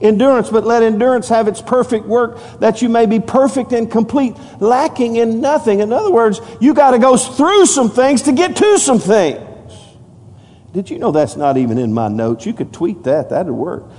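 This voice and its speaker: Over noticeable background noise, a man speaks at a moderate pace with lively intonation and an extremely high pitch for a man. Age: 50s. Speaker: pastor. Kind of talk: evangelical sermon at a Wednesday night church service, call-and-response preaching. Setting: church with congregation. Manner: conversational, repetitive and stumbling asides with many fillers.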